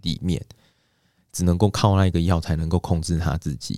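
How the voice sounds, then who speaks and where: On a very clean recording with a silent background, a man speaks at a very deep, low pitch in a dark, mellow tone. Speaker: counseling psychologist. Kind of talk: interview. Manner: gentle, soothing when asking questions.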